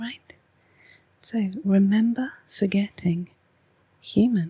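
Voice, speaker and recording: A soft-spoken woman with an English accent, in a dry, close sound with no echo. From England. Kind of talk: ASMR oracle card reading. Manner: soft-spoken, slow.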